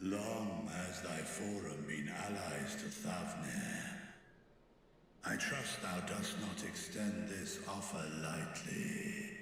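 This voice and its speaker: A put-on character voice speaks at a very slow pace. There is strong echo and clear background noise. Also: man. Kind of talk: archaic royal speech. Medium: game stream. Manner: commanding, measured.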